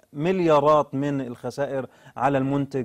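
There is a quiet background while this man talks at a fairly slow pace. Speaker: studio guest commentator. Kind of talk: interview answer. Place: studio.

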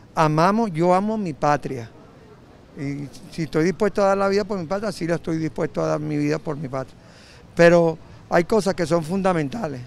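A man's high voice at a moderate pace, with ordinary pitch variation and a dry sound with no echo. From Venezuela. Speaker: citizen interviewed on the street. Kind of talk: street interview. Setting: outdoors on the street. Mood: earnest, patriotic. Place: street. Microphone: handheld.

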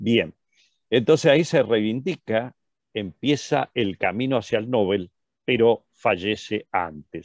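A man with a medium pitch talks at a very slow pace, his intonation lively. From Argentina. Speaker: physician lecturer. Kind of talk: lecture.

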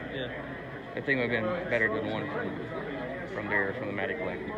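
Over crowd noise in the background, a man talks at a very fast pace. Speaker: collector vlogger. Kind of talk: casual vlog chat. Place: hall. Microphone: earbuds.

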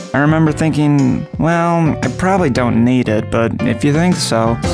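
Clear music plays in the background. Over it, a man speaks at a medium pitch. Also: ordinary pitch variation, moderate pace. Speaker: voice actor. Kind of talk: TV commercial read. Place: booth.

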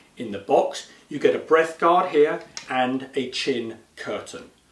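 The voice heard is a man's. There is audible echo from the room. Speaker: presenter. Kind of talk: product review presentation. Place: studio.

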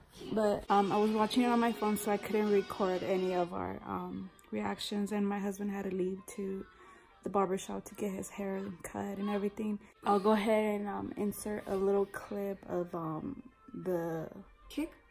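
A woman speaks at a moderate pace with fairly even intonation while faint music plays in the background. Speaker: family vlogger. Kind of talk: casual vlog chat. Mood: relaxed, chatty. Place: home room. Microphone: phone near.

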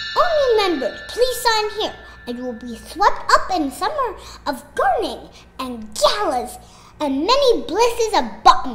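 Clear background noise sits behind a woman's extremely high-pitched voice. She speaks at a moderate pace with very wide pitch swings. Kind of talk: comic overacting. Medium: audio drama. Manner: pompous, theatrical.

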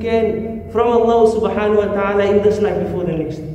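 In a monotone, flat delivery, a man talks at a very fast pace amid audible room echo and light background noise. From South Africa. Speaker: imam. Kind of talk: sermon. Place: church.

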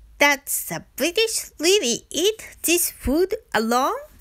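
With a Japanese accent, a woman speaks in a raised, projected voice at a very slow pace, her pitch swinging very widely. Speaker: travel vlogger. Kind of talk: scripted-style travel narration.

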